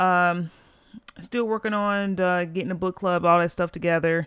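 On a very clean recording with a silent background, a woman speaks at a moderate pace. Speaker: podcast host. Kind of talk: solo podcast monologue, personal storytelling. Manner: monotone, conversational; candid, reflective.

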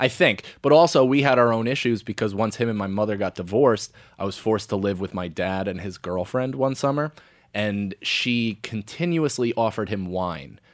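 On a very clean recording with a silent background, a man with a plain, everyday voice speaks at a moderate pace with fairly low pitch and lively intonation. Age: 30s. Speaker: stand-up comedian. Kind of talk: casual chat.

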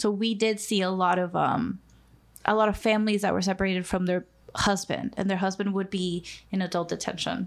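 Monotone, flat intonation and a fairly quick pace mark this speaker with a Spanish accent. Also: woman. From Mexico (Mexico City, Acapulco), moved to US at fifteen. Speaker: nonprofit immigration worker and podcast co-host. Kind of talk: casual chat.

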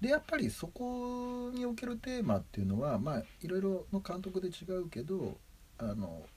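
The man's voice is high in pitch and swings very widely. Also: moderate pace. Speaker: film enthusiast co-host. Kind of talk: casual chat.

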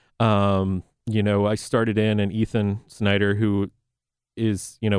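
A man's fairly low voice with a slight Southern US accent and monotone, flat intonation, in a dry, close sound with no echo and a very clean recording over a silent background. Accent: slight Southern twang. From North Carolina. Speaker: chef. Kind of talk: casual chat. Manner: articulate.

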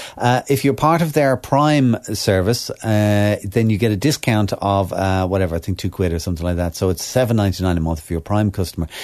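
A man with an Irish accent, fairly low in pitch, speaking at a fairly quick pace with lively intonation and hardly any pauses. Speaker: radio host. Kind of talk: casual chat.

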